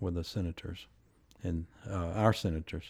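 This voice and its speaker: A man's very deep, low voice with a Tennessee accent, a dark, mellow tone and ordinary pitch variation, in a very clean recording with a silent background. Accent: Southern US (Tennessee). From West Tennessee, US South. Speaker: former congressman and judge. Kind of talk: interview. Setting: live recording at a venue.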